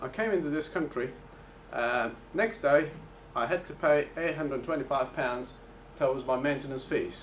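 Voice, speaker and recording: His pitch is fairly high for a man. It varies in an ordinary way. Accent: non-native. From Bulgaria, Turkish family. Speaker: property investor. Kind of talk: seminar presentation. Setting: hotel event with audience.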